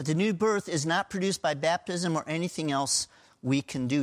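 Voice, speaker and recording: On a very clean recording with a silent background and a dry, close sound with no echo, a man talks at a moderate pace with lively intonation in a normal speaking voice. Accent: American. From US (Pennsylvania). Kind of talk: sermon.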